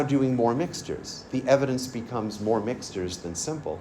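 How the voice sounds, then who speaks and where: Audible room echo around a man's medium-pitched voice, with ordinary pitch variation and a moderate pace. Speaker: forensic DNA scientist. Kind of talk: lecture.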